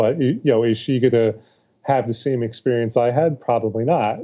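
A man at a moderate pace with fairly even intonation against a quiet background. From New York City. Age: 30s. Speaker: author and public speaker; public speaker. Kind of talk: casual interview chat. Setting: remote call. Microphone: video call.

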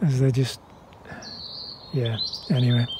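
Noticeable background noise sits behind a man with a British accent, and the sound is dry with no echo. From United Kingdom. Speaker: gardener. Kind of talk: gardening tutorial talk. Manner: calm. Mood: wry, opinionated. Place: garden. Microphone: phone near.

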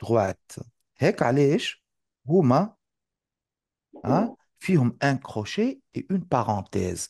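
A man speaks at a fairly high pitch with very wide pitch swings and a fairly slow pace. He leaves long, frequent pauses, in a dry sound with no echo against a quiet background. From Tunisia. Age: 40s. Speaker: math teacher. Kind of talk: live online lesson. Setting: live online class.

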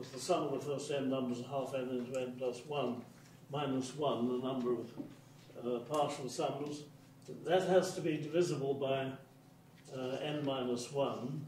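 Amid audible room echo and light background noise, a man speaks at a moderate pace with fairly even intonation and long, frequent pauses. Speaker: mathematics lecturer. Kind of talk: lecture. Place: hall.

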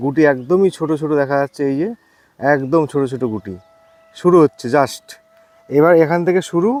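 A man with an ordinary speaking voice talks at a fairly high pitch with ordinary pitch variation in a dry, close sound with no echo. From West Bengal, Nadia district. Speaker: fruit farmer and nursery grower. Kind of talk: casual interview in an orchard. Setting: outdoors in an orchard.

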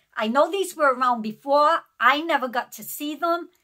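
A woman speaks in a raised, projected voice with a bright, sharp tone. Her pace is fairly slow, and the background is quiet. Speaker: haul vlogger. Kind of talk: casual vlog chat. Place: home room. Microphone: phone near.

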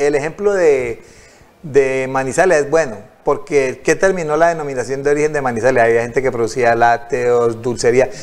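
A man speaks at a moderate pace in a medium pitch, with ordinary pitch variation. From Colombia, Tuluá (Valle del Cauca); Valle del Cauca, Colombia. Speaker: local council candidate; council candidate. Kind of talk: TV interview. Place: studio. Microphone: lapel.

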